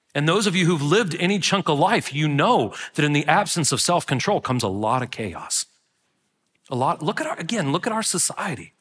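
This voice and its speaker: A man's fairly high voice swings very widely in pitch as he talks fairly quickly. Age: 40s. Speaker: pastor. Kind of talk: sermon. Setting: church.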